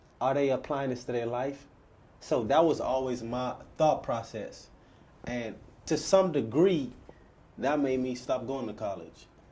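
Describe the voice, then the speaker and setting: A man with a medium-pitched voice and a dark, mellow tone speaks at a fairly slow pace, using ordinary pitch variation and long, frequent pauses, with audible room echo. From Bahamas. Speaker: podcast host. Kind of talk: interview.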